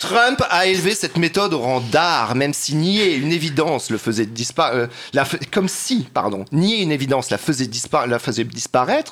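The man's voice sits fairly high in pitch. His tone is animated, and his pitch swings very widely. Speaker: columnist. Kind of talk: comedic column.

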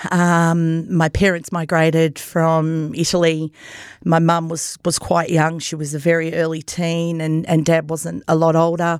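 Speaking fairly slowly in a monotone, flat manner, a woman with an Australian accent and a fairly low pitch comes through on a very clean recording with a silent background. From Australia, Myrtleford, Victoria. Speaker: podcast host appearing as guest. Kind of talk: personal testimony interview.

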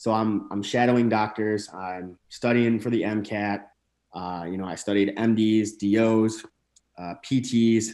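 A man with an American accent speaks at a fairly low pitch in a monotone, flat intonation. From northern Michigan. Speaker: chiropractor and bodybuilder. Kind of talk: casual interview.

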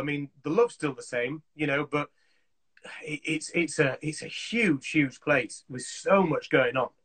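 With a Yorkshire accent, a man speaks in a fairly high, bright and sharp tone with ordinary pitch variation, recorded dry and close with no echo. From Yorkshire, Leeds. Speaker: assistant director in film and TV. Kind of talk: casual chat. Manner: animated.

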